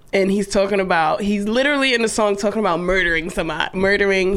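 Over noticeable background noise, a woman at medium pitch talks at a very fast pace with fairly even intonation. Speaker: podcast co-host. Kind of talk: casual chat.

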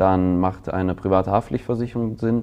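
This man has a very deep, low voice with a dark, mellow tone. His intonation stays fairly even. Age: 20s. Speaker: insurance trainer in human resources. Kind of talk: interview.

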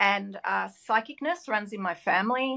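The speaker has an Australian accent and a bright, sharp tone at a moderate pace. The recording is very clean, with a silent background. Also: woman. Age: 50s. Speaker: business owner. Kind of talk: interview.

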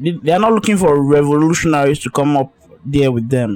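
With music playing in the background, a man's pitch varies in an ordinary way as he speaks. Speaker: podcast host. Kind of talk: casual solo podcast monologue. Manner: casual, informal, slangy, with filler words.

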